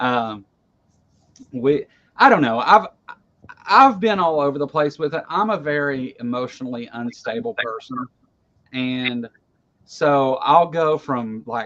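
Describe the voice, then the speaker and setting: A man with a Kentucky accent and a bright, sharp tone speaks at a fairly slow pace, with a fairly high pitch, lively intonation and long, frequent pauses. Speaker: online talk show host. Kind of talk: casual chat. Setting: livestream video call. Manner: halting, frequent repetitions.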